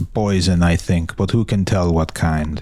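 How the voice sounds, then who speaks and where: A man puts on a character voice, speaking at a moderate pace with a very deep, low pitch and fairly even intonation over light background noise. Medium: read story. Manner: brisk, authoritative.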